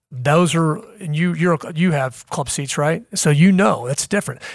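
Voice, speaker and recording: Somewhat breathy, a man with an American accent speaks at a moderate pace with a fairly high pitch and ordinary pitch variation in a very clean recording with a silent background. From US Midwest, Kansas City. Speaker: university athletics director. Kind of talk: interview. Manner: halting, many fillers.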